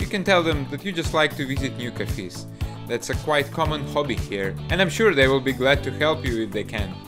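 A man talks at a fairly quick pace while clear music sounds behind him. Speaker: vlogger living abroad. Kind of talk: tutorial.

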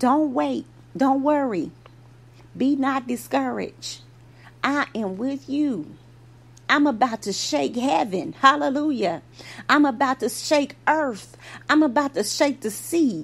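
Speaking at a very slow pace with long, frequent pauses, a woman uses a high pitch and lively intonation. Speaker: preacher. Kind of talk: fervent prayer. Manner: earnest, fervent, rhythmic.

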